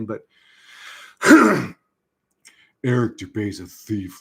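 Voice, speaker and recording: A man's breathy put-on character voice at a medium pitch. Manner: mocking.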